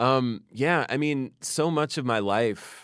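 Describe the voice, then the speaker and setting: In a very clean recording with a silent background, a man speaks at a very slow pace with ordinary pitch variation. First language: Farsi. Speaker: poet. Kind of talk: interview about poetry; poetry reading.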